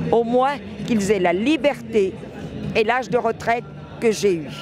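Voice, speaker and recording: Over music in the background, a man speaks fairly slowly in a high pitch with lively intonation. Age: 70s. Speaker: retiree. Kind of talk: street interview.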